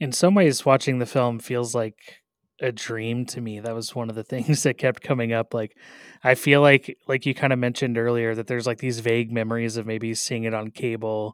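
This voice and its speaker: A man with a normal speaking voice and medium pitch talks at a moderate pace with fairly even intonation, recorded very cleanly against a silent background with a dry, close sound and no echo. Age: 30s. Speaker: radio film critic host. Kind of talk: interview.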